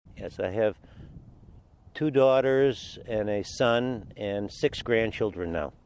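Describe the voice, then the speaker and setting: With a Midwestern American accent, a man speaks at a medium pitch and a very slow pace. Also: ordinary pitch variation. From Michigan, Detroit. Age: 70s. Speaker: car owner, retired businessman. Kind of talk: interview. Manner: halting.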